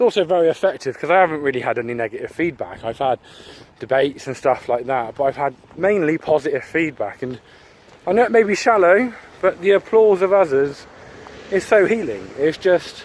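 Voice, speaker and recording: Over noticeable background noise, a man with an English accent talks at a fairly quick pace. His fairly high voice makes very wide pitch swings. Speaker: YouTuber. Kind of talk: casual monologue. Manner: halting.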